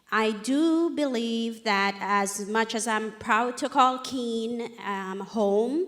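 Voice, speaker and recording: A woman at a very slow pace, fairly high in pitch, with ordinary pitch variation. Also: hardly any pauses. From Jamaica. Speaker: restaurant owner. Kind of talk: short pitch.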